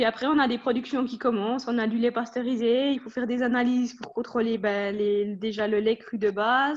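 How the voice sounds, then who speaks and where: Speaking at a fairly quick pace with hardly any pauses, a woman has a plain, everyday voice, fairly high pitched, with fairly even intonation. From Switzerland, Jura. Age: 20s. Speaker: dairy technologist. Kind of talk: interview.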